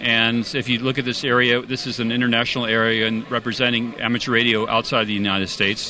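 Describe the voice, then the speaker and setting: Fairly quick speech from a man with an American accent, with noticeable background noise. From California. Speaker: amateur radio society representative. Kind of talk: interview at convention.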